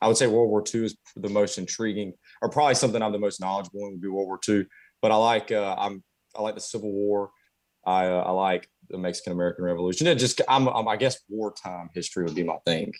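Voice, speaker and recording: A man with a Southern US accent talks at a very fast pace. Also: ordinary pitch variation, very clean recording, silent background. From US South, Conway, South Carolina. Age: 20s. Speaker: carpenter. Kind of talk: interview. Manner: halting, many fillers.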